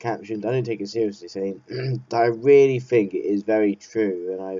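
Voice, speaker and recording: A man talks with an English accent. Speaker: vlogger. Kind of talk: casual monologue. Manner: halting.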